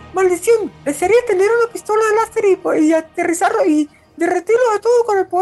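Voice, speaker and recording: Pitched extremely high, this put-on character voice rattles along at a fairly quick pace. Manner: angry, cursing.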